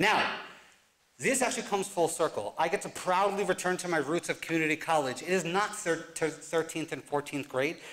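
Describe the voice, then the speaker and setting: Light background noise sits under a man with an American accent. He speaks at a moderate pace with a high pitch and ordinary pitch variation. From New Jersey, US (Newark); New Jersey. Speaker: college advisor and professor; professor. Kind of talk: live talk presentation. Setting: stage with audience. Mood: reflective, earnest. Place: stage.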